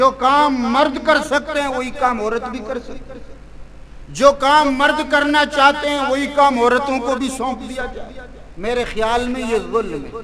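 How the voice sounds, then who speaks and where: Over noticeable background noise, a man speaks in an extremely high pitch with a raised, projected voice and big swings in loudness. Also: fairly even intonation. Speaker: Islamic scholar giving a religious sermon. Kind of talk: religious sermon (bayan).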